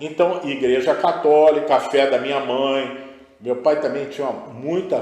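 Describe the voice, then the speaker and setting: With audible room echo and noticeable background noise, a man speaks at a fairly slow pace. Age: 70s. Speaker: spiritual guest. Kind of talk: interview testimony.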